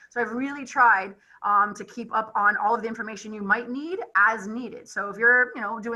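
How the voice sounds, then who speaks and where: Noticeable background noise accompanies a woman who speaks at a fairly quick pace with a fairly high pitch. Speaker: college advisor. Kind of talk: presentation. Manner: fast.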